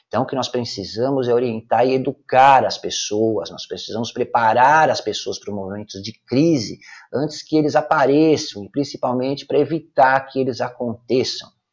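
With hardly any pauses, a man talks in a plain, everyday voice. His pitch varies in an ordinary way. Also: medium pitch for a man, moderate pace. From Brazil, São Paulo city (Brás). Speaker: numerology consultant and podcaster. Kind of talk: opinion commentary monologue.

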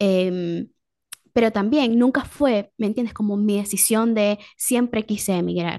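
Speaking at a fairly slow pace, a woman uses a dark, mellow tone at a fairly high pitch with ordinary pitch variation. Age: 30s. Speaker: communicator and educator. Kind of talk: casual chat. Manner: halting.

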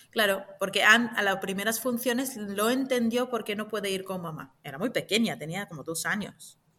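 A woman with an unremarkable speaking voice talks at a moderate pace and medium pitch, her pitch varying in an ordinary way while her loudness swings widely and she hardly pauses at all. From Israel. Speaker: actress and clown. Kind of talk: interview.

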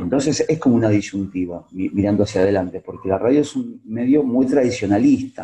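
A man with a Rioplatense accent speaks at a medium pitch, his tone dark and mellow and somewhat breathy. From Buenos Aires suburbs, Argentina. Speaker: radio journalist. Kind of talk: interview.

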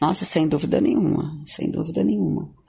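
A woman talks at a fairly slow pace with vocal fry. Her tone is dark and mellow. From Tocantins, Brazil (Gurupi). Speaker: journalist turned advertising professional. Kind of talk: radio interview. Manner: halting, with repeated words.

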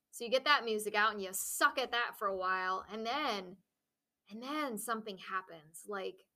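In a very clean recording with a silent background, a woman with a fairly high pitch talks at a moderate pace, her tone both warm and bright, sharp. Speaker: podcast co-host. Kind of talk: casual chat. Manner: warm, encouraging.

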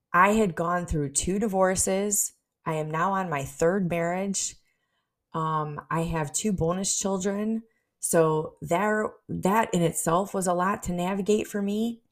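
Using an unremarkable speaking voice, a woman talks at a fairly slow pace and medium pitch with fairly even intonation on a very clean recording with a silent background. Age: 40s. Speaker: business coach and podcast host. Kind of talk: solo podcast monologue.

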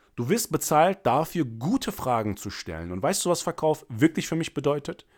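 Very cleanly recorded against a silent background, a man speaks at a moderate pace with vocal fry, a fairly high pitch, an animated tone and very wide pitch swings. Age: 30s. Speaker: sales coach and podcast host. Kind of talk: solo podcast monologue.

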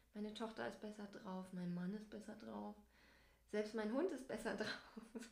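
A woman speaks at a fairly slow pace in a fairly high pitch, with fairly even intonation and audible echo in the room. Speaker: family blogger and podcast co-host. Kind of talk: casual chat.

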